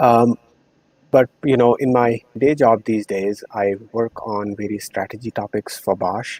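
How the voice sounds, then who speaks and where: Fairly slow speech with an Indian accent and fairly even intonation, in a dry, close sound with no echo. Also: man. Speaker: corporate strategy professional. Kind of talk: podcast interview. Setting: live-streamed show.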